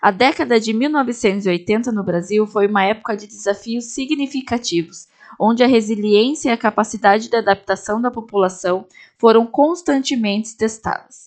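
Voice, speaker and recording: In a normal speaking voice, a woman with a fairly high pitch talks at a moderate pace with ordinary pitch variation. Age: 20s. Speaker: history student, podcast host. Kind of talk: scripted narration. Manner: formal.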